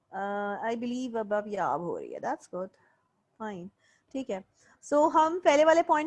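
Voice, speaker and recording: A woman's high-pitched voice at a moderate pace against a quiet background. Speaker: lecturer. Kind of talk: lecture.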